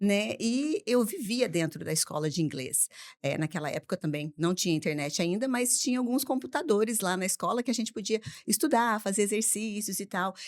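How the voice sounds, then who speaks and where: The voice moves at a moderate pace with very wide pitch swings. The recording is very clean, with a silent background. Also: woman, medium pitch for a woman. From Brazil, Mococa (São Paulo state). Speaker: English teacher and school owner. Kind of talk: casual podcast interview.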